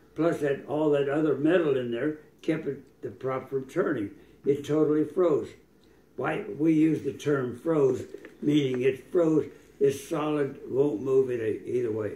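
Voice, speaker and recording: With an American accent, the speaker talks at a fairly slow pace in a dark, mellow, somewhat breathy tone, with ordinary pitch variation. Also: man, fairly high pitch for a man. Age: 80s+. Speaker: retired air force pilot. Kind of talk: casual chat. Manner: halting.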